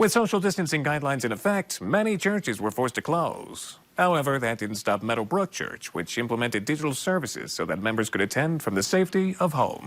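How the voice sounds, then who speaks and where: A man's fairly high voice at a very fast pace, with very wide pitch swings and hardly any pauses. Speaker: television news reporter. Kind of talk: on-location news report voiceover. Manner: clear, polished, professional.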